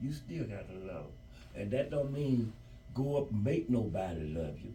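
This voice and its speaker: A man's fairly low pitch and lively intonation at a moderate pace, with audible room echo and noticeable background noise. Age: 70s. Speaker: grandparent interviewed about civil rights era. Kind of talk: interview.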